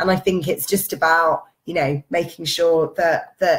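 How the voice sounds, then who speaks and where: There's a somewhat breathy quality here. The delivery is fairly slow. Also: woman. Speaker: parenting blogger. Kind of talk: live Q&A stream. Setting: Facebook Live video stream.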